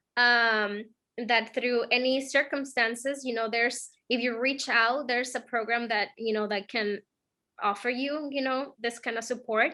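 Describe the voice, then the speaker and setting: In a very clean recording with a silent background, a woman talks at a moderate pace in a high, bright, sharp voice with monotone, flat intonation. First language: not English. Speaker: program mentee, bank employee. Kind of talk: interview. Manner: halting, many fillers.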